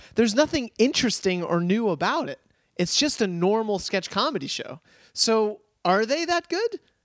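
A man with a high pitch and very wide pitch swings at a moderate pace, the sound dry and close with no echo. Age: 20s. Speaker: comedy head writer. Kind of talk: casual chat. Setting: studio.

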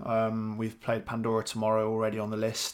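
Speaking with a British accent, a man uses a medium pitch at a moderate pace. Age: 30s. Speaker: podcast co-host. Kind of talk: casual chat.

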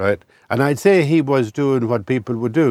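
A man speaks with an Irish midlands accent and vocal fry. His pitch swings very widely. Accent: Irish, rural midlands. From rural Ireland. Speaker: writer and columnist. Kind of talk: interview conversation. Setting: in a camper van.

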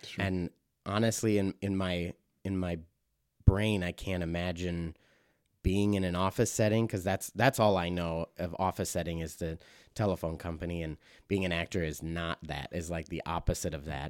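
An Upper Midwest accent at a moderate pace, fairly even in intonation, with a dry, close sound, no echo, and a very clean recording over a silent background. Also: man, very deep, low pitch for a man. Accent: Upper Midwest American. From Wisconsin, Mount Horeb near Madison. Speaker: stage actor. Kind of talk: interview conversation.

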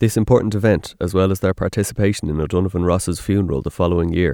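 In an Irish accent, a man with a very deep, low pitch and a dark, mellow tone talks at a very fast pace with ordinary pitch variation. The recording is very clean with a silent background and has a dry, close sound with no echo. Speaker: podcast host. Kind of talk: scripted narration.

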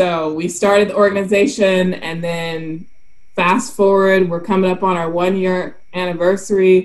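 With an American accent, the speaker talks at a moderate pace and fairly even intonation, with audible room echo around the voice. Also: woman, medium pitch for a woman. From South Carolina. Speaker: marine biologist, shark scientist. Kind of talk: casual chat.

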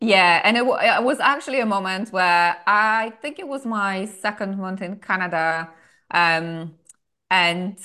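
A woman speaks in a bright, sharp tone with ordinary pitch variation over a quiet background. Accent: non-native. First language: not English. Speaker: podcast guest, travelling woman. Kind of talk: interview.

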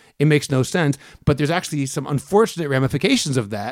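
A fairly high-pitched man with an American accent, talking at a very fast pace. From Boston, US. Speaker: podcast co-host, Bible teacher. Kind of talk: casual chat and Bible teaching.

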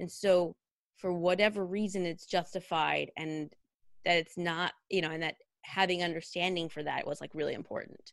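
A woman with a West Coast US accent, fairly low pitch and monotone, flat intonation at a moderate pace. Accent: General American (West Coast). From Northern California. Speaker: costume designer. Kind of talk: interview.

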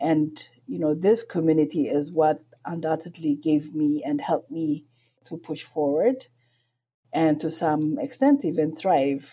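Fairly slowly, a woman speaks in a very deep, low voice with a dark, mellow tone and ordinary pitch variation. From Ethiopia. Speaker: public health program director. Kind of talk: interview. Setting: remote call.

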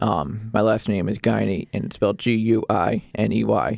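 With vocal fry and ordinary pitch variation, a man speaks at a moderate pace on a very clean recording with a silent background. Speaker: sports play-by-play announcer and podcaster. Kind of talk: casual interview. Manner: hesitant, filler-heavy.

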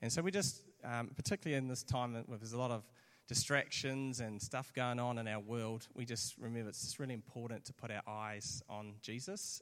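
A man speaks in a New Zealand accent with ordinary pitch variation. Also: medium pitch for a man, fairly quick pace. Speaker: church pastor. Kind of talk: sermon interview. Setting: church with audience.

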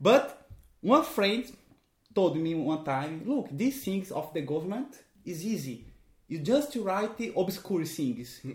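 With music in the background, a man with a Portuguese accent speaks very slowly at a high pitch, his voice making very wide pitch swings. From Brazil. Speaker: magician and clown. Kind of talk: casual chat. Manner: halting.

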